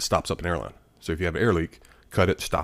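A man with a Southern US accent talks at a fairly quick pace, his very deep, low pitch showing ordinary variation. The sound is dry and close with no echo. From Alabama. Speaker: retired Marine, wounded veteran. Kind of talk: casual chat. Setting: studio.

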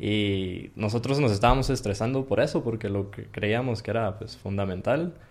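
Here is a man with a plain, everyday voice. His pitch is fairly low and varies in an ordinary way. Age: 20s. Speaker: computer science student. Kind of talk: interview.

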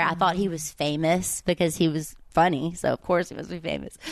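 A woman with a Southern US accent speaks with fairly even intonation over a quiet background. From US South, Oxford, Mississippi. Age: 30s. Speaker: stand-up comedian. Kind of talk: casual chat.

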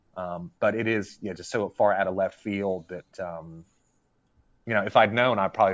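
A man with an American accent speaks at a moderate pace in a very deep, low pitch. His intonation stays fairly even over a quiet background. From Arkansas, US South. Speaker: gaming writer. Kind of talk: casual chat. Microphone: unstable connection.

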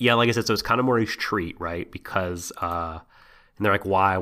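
With ordinary pitch variation, an unforced reading voice goes through the text.

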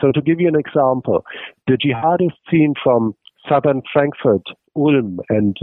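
The speaker is a man with ordinary pitch variation. He keeps to a moderate pace. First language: German. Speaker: terrorism researcher. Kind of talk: interview. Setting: remote call. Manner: halting.

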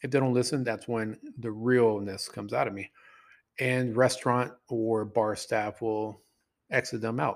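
The recording is very clean, with a silent background. The pace is fairly slow. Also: man, medium pitch for a man. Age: 40s. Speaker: dating coach and podcast host. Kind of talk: solo podcast monologue. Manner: animated.

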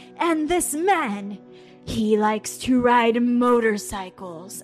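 Using a put-on character voice, a woman speaks very slowly with lively intonation over clear background music. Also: fairly high pitch for a woman. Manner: strange, put on.

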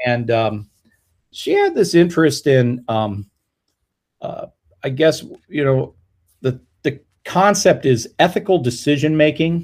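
Somewhat breathy and fairly high in pitch, a man with a General American accent speaks with long, frequent pauses. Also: lively intonation, fairly slow pace. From Colorado. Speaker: music education professor. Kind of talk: casual interview.

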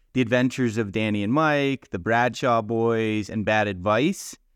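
Against a quiet background, a man with an ordinary speaking voice talks at a moderate pace and medium pitch, the sound dry and close with no echo. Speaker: podcast co-host. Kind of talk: casual interview chat.

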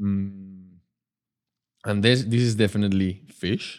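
Over a very clean recording with a silent background, a man with a Spanish accent speaks at a fairly slow pace, his fairly low pitch held in fairly even intonation. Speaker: actor and TV personality. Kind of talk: casual interview with blind tasting.

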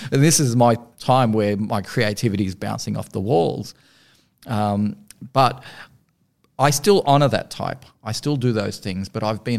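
A man talks at a fairly slow pace with an Australian accent, his pitch fairly low with ordinary variation. The recording is very clean, with a silent background. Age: 50s. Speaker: podcast host. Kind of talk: interview.

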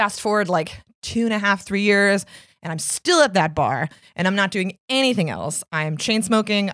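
An unremarkable speaking voice at a moderate pace, with ordinary pitch variation. The recording is very clean, with a silent background. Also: woman. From Arlington, Virginia and Washington DC, US. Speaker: strongwoman athlete and personal trainer. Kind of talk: interview.

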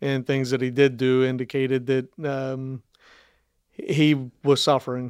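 A man's medium-pitched voice with an American accent, fairly slow and flat in a monotone, on a very clean recording with a silent background and a dry, close sound without echo. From Northern Kentucky, US (Campbell County). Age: 50s. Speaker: police sergeant and canine handler. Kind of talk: interview about personal life. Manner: hesitant, many fillers.

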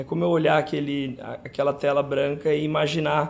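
Using a plain, everyday voice, a man with a fairly high pitch speaks at a moderate pace with fairly even intonation. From São José do Rio Preto, interior of São Paulo, Brazil. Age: 30s. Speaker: dermatologist. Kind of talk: interview.

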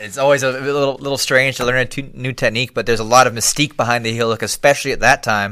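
A man at a medium pitch rattles along at a very fast pace with a bright, sharp tone and fairly even intonation. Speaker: podcast host. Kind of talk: casual chat. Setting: live stream.

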